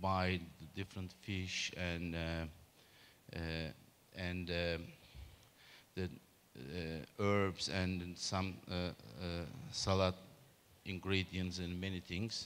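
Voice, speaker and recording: A man speaks at a very slow pace. His pitch is very deep and low. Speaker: presenter. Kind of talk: conference talk. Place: hall. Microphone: handheld.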